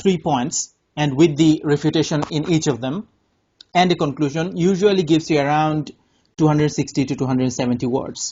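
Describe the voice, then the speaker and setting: A man with a Bengali accent speaks at a moderate pace in a fairly high pitch, with ordinary pitch variation and long, frequent pauses. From Bangladesh. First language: Bangla. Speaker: English test tutor. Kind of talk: casual chat. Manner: halting.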